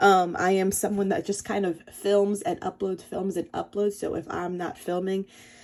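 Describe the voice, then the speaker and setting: A woman's medium-pitched, monotone, flat delivery at a moderate pace with hardly any pauses. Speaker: scrapbooking hobbyist youtuber. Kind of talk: casual tutorial vlog. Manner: casual, with filler ums.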